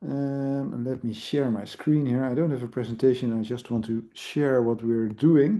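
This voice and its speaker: Here a man speaks at a medium pitch with ordinary pitch variation. He has a strong Dutch accent. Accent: thick Dutch. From Netherlands. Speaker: IT product owner in education. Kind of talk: conference presentation. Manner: hesitant, many fillers.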